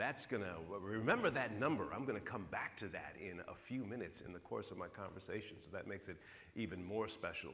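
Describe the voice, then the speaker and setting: A bright, sharp voice with an American accent, fairly quick, with ordinary pitch variation and audible room echo. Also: man. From northern US. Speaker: keynote speaker. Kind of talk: conference keynote speech.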